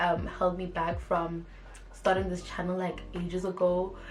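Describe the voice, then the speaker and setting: A woman with a medium pitch speaks over music in the background. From South Africa, East London. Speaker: YouTuber. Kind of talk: casual vlog talk to camera. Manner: animated.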